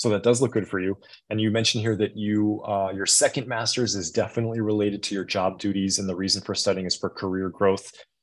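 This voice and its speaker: Speaking at a very fast pace, a man uses a fairly low pitch. His intonation is fairly even, and the background is quiet. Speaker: former visa officer. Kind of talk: webinar Q&A.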